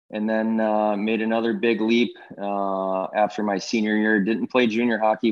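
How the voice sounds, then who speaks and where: A man speaks at a moderate pace in a fairly low pitch with a Pittsburgh accent. His intonation is monotone and flat. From Pittsburgh, Pennsylvania. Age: 30s. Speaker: hockey executive and former goalie. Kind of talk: interview.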